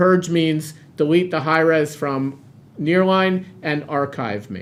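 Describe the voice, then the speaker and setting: Speaking at a fairly slow pace, a man with a fairly high pitch and ordinary pitch variation has an unremarkable speaking voice. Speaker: product demo presenter. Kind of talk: product demo webinar. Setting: webinar on camera.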